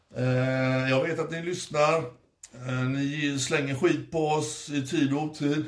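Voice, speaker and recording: A man at a fairly high pitch, a very slow pace with hardly any pauses, and audible room echo. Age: 50s. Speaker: podcast host. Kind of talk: casual chat. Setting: hotel room. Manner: animated.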